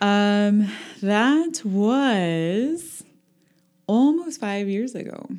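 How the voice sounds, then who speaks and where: Music plays in the background as a woman talks. Her pitch sits in the medium range and her intonation is lively. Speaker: yoga and wellness studio owner. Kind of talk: casual interview chat. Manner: calm, soothing.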